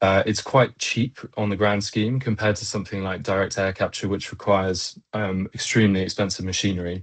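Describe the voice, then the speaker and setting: With a British accent, a man talks at a moderate pace and a fairly low pitch in a monotone, flat intonation. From Britain. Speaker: engineer and company co-founder. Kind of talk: web chat presentation. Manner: many filler words.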